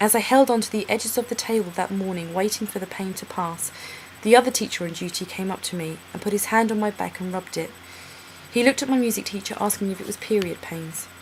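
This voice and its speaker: Noticeable background noise accompanies a woman talking at a very fast pace and medium pitch, with ordinary pitch variation and big swings in loudness. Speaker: author. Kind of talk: memoir reading.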